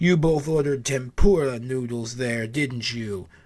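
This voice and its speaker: A man's put-on character voice at a medium pitch. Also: moderate pace. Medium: read story. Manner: needling, knowing.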